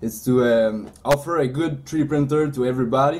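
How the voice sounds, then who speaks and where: A man with a Quebec accent, medium-pitched and dark, mellow in tone, at a moderate pace with ordinary pitch variation. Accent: French-Canadian accent in English. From Quebec, Canada. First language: French. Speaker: 3D printing business owner. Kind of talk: interview. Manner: halting, many fillers.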